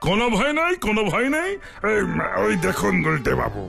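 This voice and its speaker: A man performs in a cartoonish character voice at a moderate pace and very even loudness. Music is clearly audible in the background. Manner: mixes English words into Bengali.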